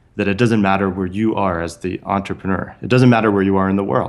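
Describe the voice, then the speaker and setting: A man with a Californian accent speaks at a fairly low pitch. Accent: General American (Californian). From US West Coast (San Francisco Bay Area). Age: 30s. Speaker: author and entrepreneur. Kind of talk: casual interview.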